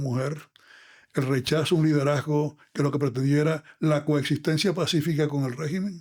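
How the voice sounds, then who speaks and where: Over a silent background in a very clean recording, a man speaks at a fairly quick pace. His fairly high voice is monotone, with flat intonation. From Venezuela, Zulia state. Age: 80s+. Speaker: lawyer and former congressman. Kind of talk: long-form podcast interview.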